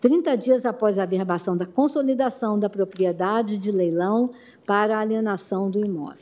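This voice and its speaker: A woman at a medium pitch and moderate pace, with a dark, mellow tone and ordinary pitch variation. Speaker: prosecutor general. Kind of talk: oral argument. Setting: court plenary session. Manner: formal.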